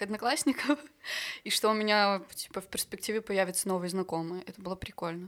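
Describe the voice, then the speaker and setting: On a very clean recording with a silent background, a woman with an unremarkable speaking voice talks at a fairly quick pace and medium pitch with fairly even intonation. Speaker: singer. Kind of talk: casual chat.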